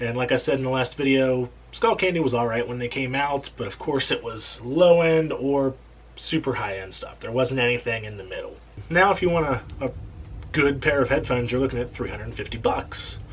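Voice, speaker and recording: Over noticeable background noise, a man at a medium pitch speaks with big swings in loudness. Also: ordinary pitch variation, fairly quick pace. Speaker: tech reviewer. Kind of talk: casual talk to camera.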